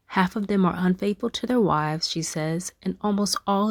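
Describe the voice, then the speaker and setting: A woman at a moderate pace with an American accent, in a dry, close sound with no echo, on a very clean recording with a silent background. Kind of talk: audiobook reading.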